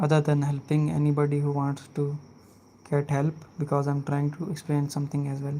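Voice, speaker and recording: The speaker has a non-native accent and talks at a fairly quick pace. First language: not English. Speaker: health and safety student. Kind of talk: casual chat; lecture. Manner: halting.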